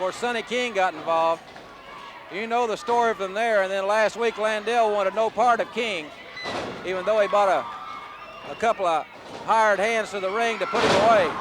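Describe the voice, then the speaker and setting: This man speaks at a moderate pace with a high pitch. His pitch varies in an ordinary way, and noticeable background noise sits behind him. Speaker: wrestling play-by-play announcer. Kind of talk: wrestling TV play-by-play commentary.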